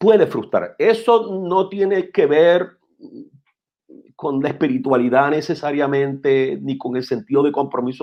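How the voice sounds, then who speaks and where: This unremarkable speaking voice moves at a fairly slow pace with lively intonation. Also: man, fairly high pitch for a man. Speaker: pastor. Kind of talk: interview about preaching. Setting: live-streamed talk show.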